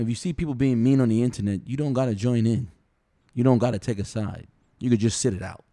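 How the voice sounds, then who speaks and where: Speaking at a very fast pace, a man with a dark, mellow tone keeps a medium pitch and ordinary pitch variation. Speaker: podcast co-host and youth coach. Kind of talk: casual chat. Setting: home dining room recording. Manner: loud.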